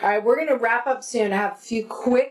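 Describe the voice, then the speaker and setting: A woman has an unremarkable speaking voice with ordinary pitch variation. She talks at a fairly quick pace. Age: 50s. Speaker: podcast host. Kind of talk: casual chat. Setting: home attic office.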